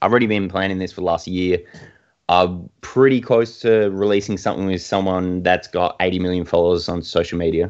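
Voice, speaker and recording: Over a quiet background, a man with an Australian accent and a very deep, low pitch talks at a fairly quick pace with fairly even intonation. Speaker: designer and artist. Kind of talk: casual interview.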